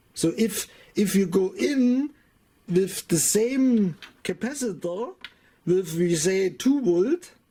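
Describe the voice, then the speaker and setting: In a German accent, the speaker goes at a very slow pace with long, frequent pauses. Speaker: electronics hobbyist youtuber. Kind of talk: tutorial. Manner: halting.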